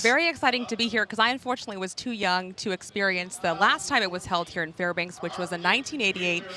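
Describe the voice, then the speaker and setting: At a very fast pace with hardly any pauses, a woman talks at medium pitch with lively intonation over noticeable background noise. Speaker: television news anchor and reporter. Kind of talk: live co-anchor banter at a sporting event.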